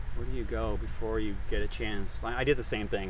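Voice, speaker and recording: With audible room echo, a man with a very deep, low voice swings his pitch very widely. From Netherlands. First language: Dutch. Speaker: conservation scientist. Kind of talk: casual interview. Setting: outdoors on a trail.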